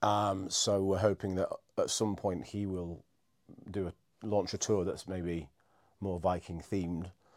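In a very clean recording with a silent background, a man with a Yorkshire accent speaks fairly slowly in a very deep, low voice with monotone, flat intonation. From northern England, Scarborough. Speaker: ghost tour guide and operator. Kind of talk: casual chat. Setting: office.

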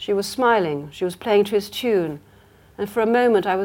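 An unforced reading voice. Its pitch varies in an ordinary way.

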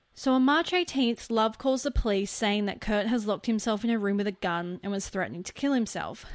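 Over a silent background in a very clean recording, a woman with a fairly high voice talks at a fairly quick pace. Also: ordinary pitch variation. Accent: Australian. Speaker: podcast co-host. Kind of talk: true crime storytelling.

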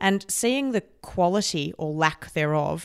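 A woman's lively intonation comes across on a very clean recording against a silent background. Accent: Australian. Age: 30s. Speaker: podcast host. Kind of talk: interview.

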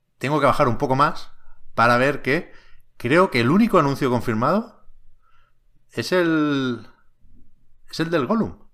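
A man with a fairly high pitch and lively intonation talks at a fairly slow pace, leaving long, frequent pauses. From Catalonia, Spain (Tiana, near Barcelona). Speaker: video game podcast host. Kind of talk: casual chat. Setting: studio, livestreamed on Twitch.

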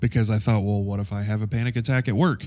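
A man speaks at a fairly low pitch. His intonation stays fairly even. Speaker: podcast host. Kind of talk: casual monologue. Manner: rambling with many fillers.

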